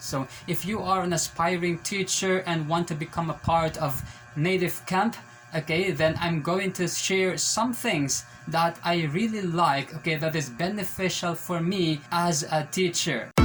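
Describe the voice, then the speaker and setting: With music in the background, a man talks fairly slowly at a high pitch with ordinary pitch variation. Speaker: ESL teacher. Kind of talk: casual vlog talk to camera.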